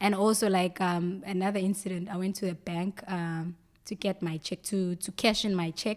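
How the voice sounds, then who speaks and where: A woman talks at a medium pitch with a South African accent. Her intonation stays monotone and flat. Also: moderate pace. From South Africa, KwaZulu-Natal north coast. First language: Zulu. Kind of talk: casual chat.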